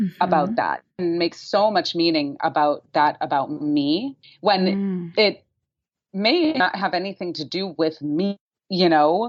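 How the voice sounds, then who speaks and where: With a normal speaking voice, a woman at medium pitch talks at a fairly slow pace and uses lively intonation. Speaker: podcast host. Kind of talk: podcast interview conversation.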